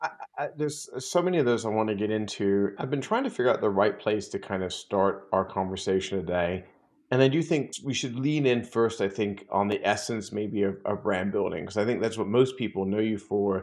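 Fairly low male voice at a fairly quick pace, with ordinary pitch variation. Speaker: podcast host. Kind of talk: podcast interview. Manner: enthusiastic. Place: home room.

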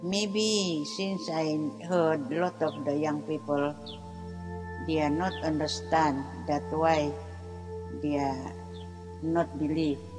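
A woman with a very deep, low pitch and very wide pitch swings, speaking very slowly with long, frequent pauses over clear music in the background. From Penampang, Sabah, East Malaysia. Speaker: keeper of traditional knowledge. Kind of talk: interview answer. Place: garden.

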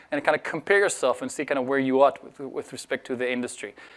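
In a quiet background, a man's words come out at a very fast pace. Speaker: conference speaker. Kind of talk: conference talk. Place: hall.

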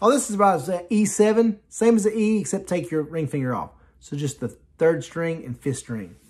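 A man's fairly high-pitched, slightly mellow voice at a moderate pace, with ordinary pitch variation and faint music in the background.

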